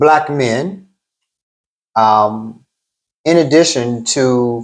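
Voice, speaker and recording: A man's voice with lively intonation. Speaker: therapist. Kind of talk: interview. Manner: slow and deliberate.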